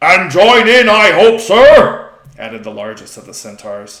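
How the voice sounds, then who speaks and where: A man doing a put-on character voice at a moderate pace. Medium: read story.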